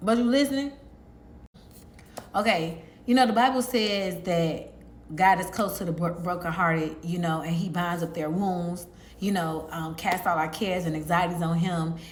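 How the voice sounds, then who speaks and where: A normal speaking voice from a woman, fairly low in pitch, with ordinary pitch variation at a moderate pace. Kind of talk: sermon-style evangelistic message to camera. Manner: conversational, earnest, fluent with filler words.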